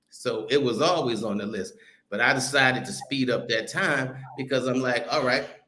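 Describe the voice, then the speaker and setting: A man's animated tone at a moderate pace, with audible room echo. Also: medium pitch for a man, ordinary pitch variation. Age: 60s. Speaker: travel content creator. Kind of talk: casual chat. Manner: animated, heated.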